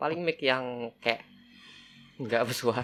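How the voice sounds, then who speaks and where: His tone is bright and sharp. The man's pitch moves in an ordinary way. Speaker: podcast co-host. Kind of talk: casual chat. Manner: halting. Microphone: cheap microphone.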